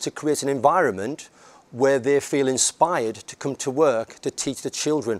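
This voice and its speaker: Speaking at a moderate pace with a northern English accent, a man sounds dry and close, with no echo. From northern England, near Scotland. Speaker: head teacher. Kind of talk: conference talk. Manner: halting.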